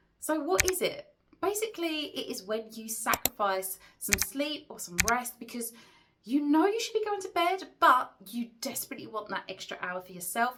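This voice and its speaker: A woman speaks in a bright, sharp, animated tone, her pitch swinging very widely. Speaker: business and productivity coach. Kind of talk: talking-head tutorial video. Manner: casual, animated.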